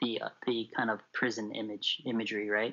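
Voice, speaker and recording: A man talks at a moderate pace, his pitch in the medium range. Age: 30s. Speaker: poet and creative writing student. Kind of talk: casual interview. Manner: halting.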